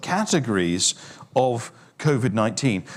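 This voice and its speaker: A man with a British accent uses very wide pitch swings and vocal fry. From UK. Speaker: fitness industry speaker. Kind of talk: online forum presentation. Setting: online forum.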